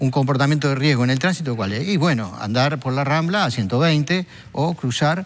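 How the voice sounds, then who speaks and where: The speaker has a Uruguayan accent and lively intonation. The pace is moderate. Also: man. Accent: Rioplatense Spanish (Uruguayan). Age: 60s. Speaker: drug policy expert. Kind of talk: TV talk show interview.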